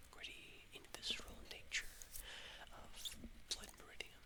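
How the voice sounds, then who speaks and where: A whispering voice with a soothing tone. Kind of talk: casual introduction to camera.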